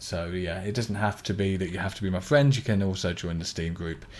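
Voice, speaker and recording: A very clean recording with a silent background captures a man speaking at a very deep, low pitch. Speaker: gaming streamer. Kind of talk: live stream chat while playing. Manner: flat, not very enthusiastic sounding; monotone.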